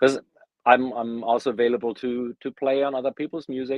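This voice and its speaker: In a German accent, a man talks at a medium pitch. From Germany. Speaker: bassist. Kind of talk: interview.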